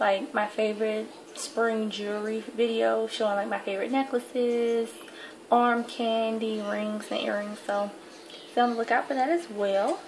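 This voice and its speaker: A woman in a Southern US accent at a fairly high pitch and moderate pace, with fairly even intonation and light background noise. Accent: Southern US (Georgia). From US South, Atlanta, Georgia. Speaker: beauty vlogger. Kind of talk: casual vlog, tag video. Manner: kept quiet so as not to wake her sleeping son. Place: home room. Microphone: webcam.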